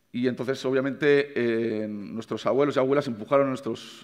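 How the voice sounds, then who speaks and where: A man talks at a fairly quick pace with fairly even intonation. The background is quiet. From Navarre, Spain. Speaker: chef. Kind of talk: conference talk. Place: stage. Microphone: headset.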